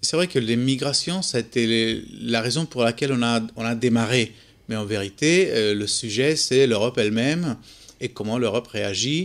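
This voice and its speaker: At a moderate pace, a man speaks in a Spanish accent, his medium pitch showing ordinary variation. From Spain. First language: Spanish (speaking French). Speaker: documentary photographer. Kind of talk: interview. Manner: halting.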